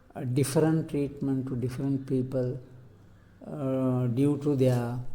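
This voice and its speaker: A man's dark, mellow tone at medium pitch, monotone and flat in intonation, at a fairly slow pace. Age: 80s+. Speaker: translator and peace activist. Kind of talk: oral history interview answer.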